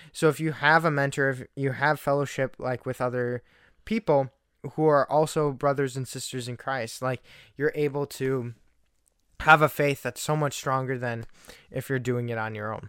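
A medium-pitched man at a moderate pace with fairly even intonation, in a dry, close sound with no echo on a very clean recording with a silent background. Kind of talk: casual chat. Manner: loud when arguing. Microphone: talks very close to the mic.

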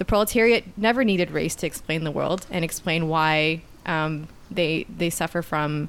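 The speaker uses an ordinary speaking voice with a Canadian accent. The pace is moderate. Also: woman. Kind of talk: casual political discussion.

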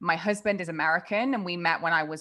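A woman's bright, sharp tone at a fairly low pitch, with ordinary pitch variation, an English accent, a moderate pace and a quiet background. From England. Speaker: productivity coach. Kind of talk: casual interview.

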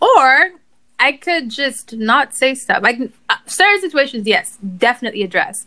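A woman's raised, projected voice, bright and sharp in tone, high in pitch with very wide pitch swings and a moderate pace. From Nigeria. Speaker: writer and podcaster. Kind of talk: casual chat. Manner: composed, podcast-like delivery.

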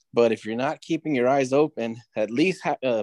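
A man with a normal speaking voice talks at a moderate pace in a medium pitch, with ordinary pitch variation and a dry, close sound with no echo. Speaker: podcast host. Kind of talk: show introduction. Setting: video call.

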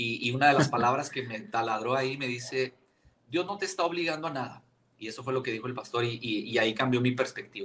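A man talks very fast at a medium pitch with ordinary pitch variation. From Chihuahua, Mexico. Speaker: pastor. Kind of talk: casual chat.

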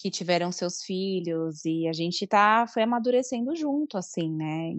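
Using a normal speaking voice, a woman with a medium pitch and lively intonation speaks at a moderate pace with hardly any pauses. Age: 30s. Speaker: coworking space manager and fan. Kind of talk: casual chat.

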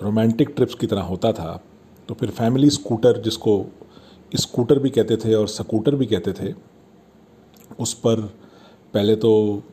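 The man's medium-pitched voice is somewhat breathy, with a dark, mellow tone. He uses ordinary pitch variation and takes long, frequent pauses. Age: 50s. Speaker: podcast host. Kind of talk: nostalgic monologue. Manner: casual, conversational.

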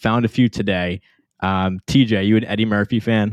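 At a moderate pace, a man with a fairly low pitch speaks in a plain, everyday voice. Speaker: podcast host. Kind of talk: casual chat.

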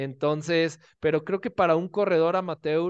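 This man's voice sits high in pitch, with fairly even intonation. He talks at a moderate pace against a quiet background. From Mexico, Guadalajara. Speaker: running and triathlon coach. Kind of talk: interview.

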